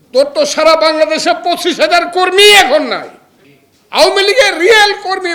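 A man speaks at an extremely high pitch in a raised, projected voice. His tone is animated, with ordinary pitch variation. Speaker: lawyer and opposition politician. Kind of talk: political speech. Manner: animated, fiery.

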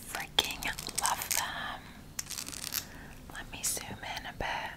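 Amid loud background noise, a woman speaks at a very slow pace. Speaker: ASMR creator. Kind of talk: ASMR shopping haul talk to camera. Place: home room. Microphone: studio mic.

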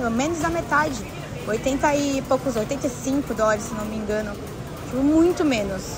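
A woman speaks at a moderate pace with ordinary pitch variation. The sound is dry with no echo, though noticeable background noise is present. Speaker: travel live streamer. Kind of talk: casual live stream chat, reading viewer comments. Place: shop.

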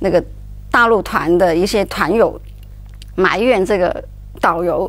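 A woman speaks in a Cantonese accent. Her pace is fairly slow. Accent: Cantonese-accented Mandarin. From Hong Kong. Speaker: journalist. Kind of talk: talk show discussion. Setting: studio. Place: studio.

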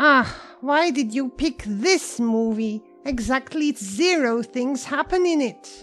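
A put-on character voice, female-sounding and high-pitched, at a fairly slow pace over clear background music. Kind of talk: comic overacting. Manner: loud, indignant, exasperated.

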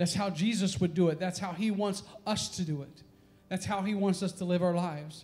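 Speaking at a fairly quick pace, a man uses a high pitch with a dark, mellow tone and monotone, flat intonation. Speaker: pastor. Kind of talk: sermon. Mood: earnest, personal confession. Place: church. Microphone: handheld.

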